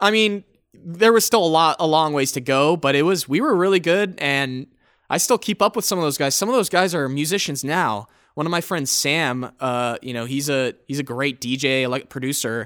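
A man with an ordinary speaking voice, fairly high in pitch, talks at a moderate pace with lively intonation in a very clean recording with a silent background. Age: 20s. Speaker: singer-songwriter and producer. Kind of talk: casual interview chat.

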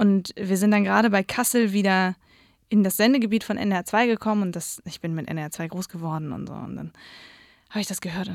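On a very clean recording with a silent background, a woman speaks at a medium pitch. Her pace is fairly quick and her intonation lively. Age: 20s. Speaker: radio and social media editor. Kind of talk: interview. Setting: studio. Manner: animated.

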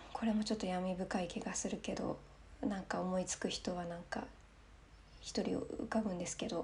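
At a moderate pace, a woman with a medium pitch talks in fairly even intonation, leaving long, frequent pauses. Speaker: solo podcast host. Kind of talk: casual monologue while drinking wine.

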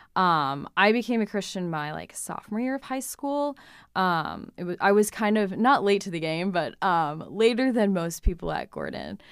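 A woman with an ordinary speaking voice talks at a moderate pace and medium pitch with lively intonation, on a very clean recording with a silent background. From New Hampshire, US. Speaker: college runner and student. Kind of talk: casual interview.

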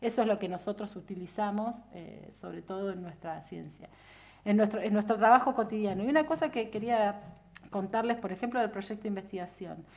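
At a fairly quick pace, a woman with a Rioplatense accent speaks at a medium pitch, with big swings in loudness. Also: ordinary pitch variation. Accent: Argentine Rioplatense Spanish. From Argentina, Viedma (Río Negro). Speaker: political scientist and researcher. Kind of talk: casual interview.

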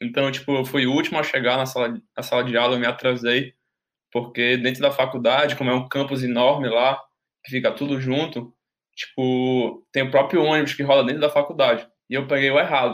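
A man's medium-pitched voice, flat and monotone, at a fairly quick pace. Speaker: university student. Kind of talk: casual chat, storytelling.

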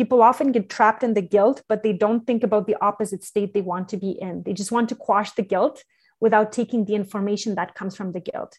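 Against a quiet background, a somewhat breathy woman speaks at a very fast pace with hardly any pauses. Her pitch is fairly high and her intonation fairly even. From Quebec, Canada. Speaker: entrepreneur and parenting advisor. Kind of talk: interview.

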